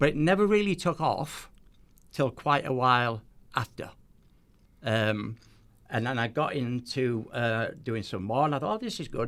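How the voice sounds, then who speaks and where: A man speaks with a Teesside accent and lively intonation. He leaves long, frequent pauses. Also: medium pitch for a man, moderate pace. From northeast England, near Middlesbrough. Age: 70s. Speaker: magician. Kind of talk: casual chat. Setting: studio.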